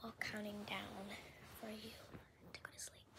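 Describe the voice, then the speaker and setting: A woman is talking amid noticeable background noise. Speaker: ASMR creator. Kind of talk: casual talk to camera. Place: home room. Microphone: phone near.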